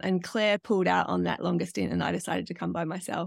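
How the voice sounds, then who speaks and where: A woman with an Australian accent speaks at a very deep, low pitch with vocal fry and very wide pitch swings, on a very clean, silent-background recording with a dry, close sound and no echo. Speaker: online riding coach. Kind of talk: interview conversation.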